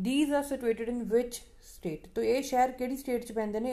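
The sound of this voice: Her voice has a dark, mellow tone, and the woman keeps her intonation fairly even.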